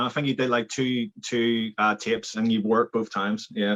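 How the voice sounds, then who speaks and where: A man speaks with a Belfast accent. His pace is moderate. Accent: Belfast Northern Irish. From Northern Ireland, Belfast. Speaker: filmmaker and videographer. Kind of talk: casual interview chat.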